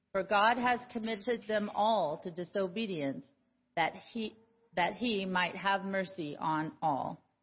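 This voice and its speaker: A somewhat breathy woman's voice at medium pitch, with ordinary pitch variation. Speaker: lay reader. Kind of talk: scripture reading. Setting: church.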